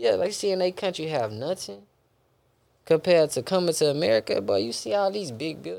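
A man's fairly high voice at a fairly quick pace. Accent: Houston. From Houston, Texas. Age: 20s. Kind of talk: casual interview chat. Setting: daughter present, casual recording. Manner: laid-back, conversational.

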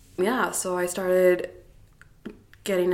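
A woman's medium-pitched voice with audible echo from the room. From South Africa, Cape Town; later Toronto. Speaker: author and brand ambassador. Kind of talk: casual interview chat.

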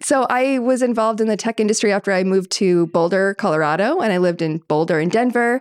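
A woman with an American accent talks at a very fast pace. She takes hardly any pauses. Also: medium pitch for a woman, ordinary pitch variation, dry, close sound with no echo. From Maine, US (western Maine mountains). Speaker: winery co-owner. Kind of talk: casual chat.

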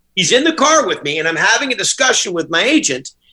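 Raising and projecting his voice, a man talks fairly quickly at an extremely high pitch, with a bright, sharp tone and very wide pitch swings. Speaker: restaurant owner. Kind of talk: casual chat.

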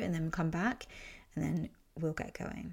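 A woman's calm, gentle tone with vocal fry, in a very clean recording with a silent background. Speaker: podcast host and holistic coach. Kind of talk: guided meditation, soothing instructions to close eyes and breathe. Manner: slow, calm, soft-spoken, gentle with long pauses; soothing and unhurried.

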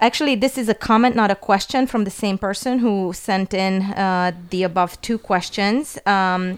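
In a very clean recording with a silent background, a woman with an Eastern European accent speaks at a medium pitch and moderate pace with ordinary pitch variation. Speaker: podcast contributor and guest interviewer. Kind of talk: casual chat. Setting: studio.

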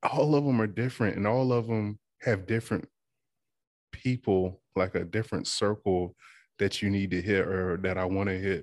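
Against a quiet background, a man with a fairly low pitch speaks in a plain, everyday voice at a moderate pace, with ordinary pitch variation and very even loudness. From Eastern Shore of Virginia, US. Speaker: oyster shucker and podcast host. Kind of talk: casual interview.

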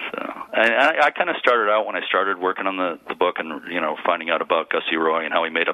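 Over noticeable background noise, a man with an American accent speaks very fast at a very deep, low pitch with ordinary pitch variation. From Massachusetts (Lynn). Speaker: author and local historian. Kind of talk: interview on a radio show.

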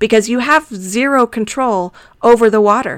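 A woman with an American accent speaks in an ordinary speaking voice at a moderate pace, with ordinary pitch variation, on a very clean recording with a silent background. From Arizona. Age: middle-aged. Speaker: podcast host. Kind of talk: solo podcast monologue.

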